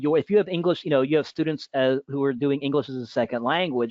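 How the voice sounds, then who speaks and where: A man talks at a fairly quick pace. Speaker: teacher. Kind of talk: webinar Q&A. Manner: fast; halting.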